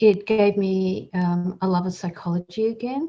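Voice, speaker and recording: This woman speaks with an Australian accent at medium pitch and ordinary pitch variation. Her voice is somewhat breathy with a dark, mellow tone. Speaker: psychologist and helpline director. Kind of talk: podcast interview.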